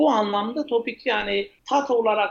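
This is a man's voice. His pitch is high. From eastern Turkey (Ağrı). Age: 30s. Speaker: chef and restaurateur. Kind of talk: podcast interview. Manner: hesitant, many fillers.

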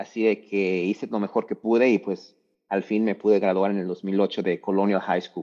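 In a flat monotone, a man speaks with a fairly low pitch and a dark, mellow tone. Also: moderate pace, quiet background. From Mexico, Lagos de Moreno, Jalisco. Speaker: university mentor and speaker. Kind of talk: casual interview. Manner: halting, repeats words and fillers.

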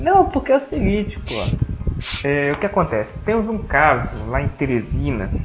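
A man talks at a fairly slow pace with hardly any pauses. Music plays in the background. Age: 20s. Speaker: podcast host. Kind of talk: casual chat. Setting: at home.

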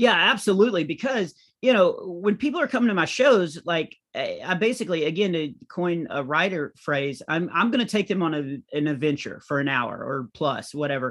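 A man with an American accent speaks at a moderate pace with hardly any pauses, his high pitch swinging very widely against a quiet background. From small-town US. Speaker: comedian. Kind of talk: interview.

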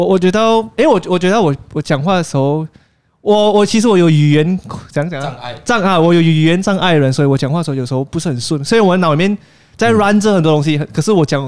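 A man talks at a very fast pace. His high voice shows ordinary pitch variation. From Penang, Malaysia. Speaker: YouTuber. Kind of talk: casual chat. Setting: cafe.

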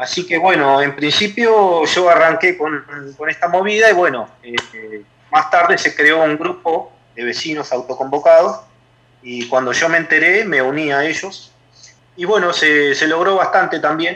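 Speaking at a fairly slow pace, a man uses a fairly high pitch with ordinary variation. Noticeable background noise runs underneath. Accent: Rioplatense. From Argentina, La Plata area. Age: 30s. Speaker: neighborhood activist. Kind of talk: radio interview. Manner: halting.

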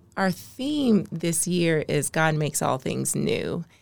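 Speaking at a very slow pace with an American accent, the voice carries vocal fry. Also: woman. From Maryland, US. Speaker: nonprofit consultant and social entrepreneur. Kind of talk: podcast interview.

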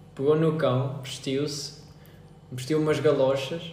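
Through audible room echo and noticeable background noise, a man speaks at a fairly high pitch. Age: 20s. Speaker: podcast co-host. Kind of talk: casual chat.

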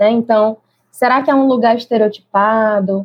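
This woman's voice is somewhat breathy and fairly high. She talks fairly slowly. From Brazilian Northeast. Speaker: early childhood teacher. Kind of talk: interview conversation.

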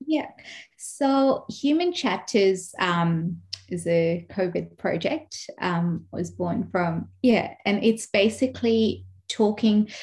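Her voice somewhat breathy, a woman talks very slowly with lively intonation. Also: medium pitch for a woman. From Kenya. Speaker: speech and language pathologist. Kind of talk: interview.

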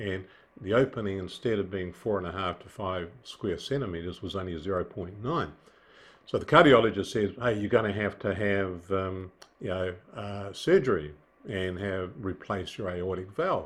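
With a New Zealand accent, a man speaks at a moderate pace and a fairly low pitch, showing big swings in loudness and ordinary pitch variation. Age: 70s. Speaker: businessman, heart surgery patient. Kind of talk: casual interview. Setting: video call. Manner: hesitant, many fillers.

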